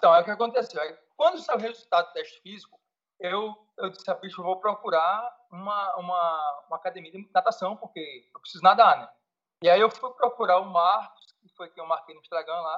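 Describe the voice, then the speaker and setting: Speaking at a fairly quick pace, a man with a high pitch shows ordinary pitch variation and big swings in loudness. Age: 40s. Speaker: federal police fingerprint examiner. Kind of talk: casual interview. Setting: Skype call. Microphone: Skype connection, may drop out.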